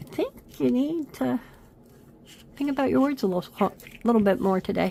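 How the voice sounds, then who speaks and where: Moderately paced speech from a woman, noticeable background noise behind her. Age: 50s. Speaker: craft video creator. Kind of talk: crafting tutorial. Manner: casual, chatty.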